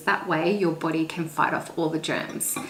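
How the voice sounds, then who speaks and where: A woman with an Australian accent, fairly low in pitch, with fairly even intonation over noticeable background noise. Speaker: lifestyle YouTuber. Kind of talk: casual talk to camera.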